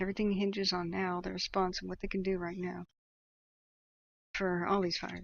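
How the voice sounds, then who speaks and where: Soft-spoken and soothing in tone, a woman with an American accent talks at medium pitch with monotone, flat intonation. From northern California. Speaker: live wildfire tracking streamer. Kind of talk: live commentary. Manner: soft, soothing.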